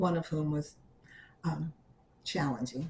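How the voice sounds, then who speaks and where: A woman with an American accent speaks at a very slow pace in a somewhat breathy voice with a dark, mellow tone. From New York City, the Bronx. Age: 70s. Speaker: oral history interviewee. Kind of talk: oral history interview. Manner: halting.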